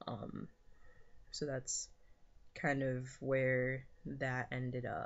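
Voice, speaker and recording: A man of medium pitch with an American accent, very slow, with long, frequent pauses. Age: 20s. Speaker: vlogger. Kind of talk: casual vlog update. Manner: hesitant, many fillers.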